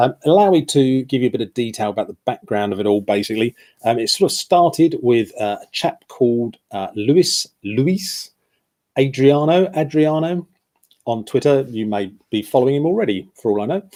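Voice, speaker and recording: Speaking in a British accent, a man uses a dark, mellow tone at medium pitch, with lively intonation and a moderate pace. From UK. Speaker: football shirt blogger. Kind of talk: live stream chat. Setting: live stream. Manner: hesitant, many fillers.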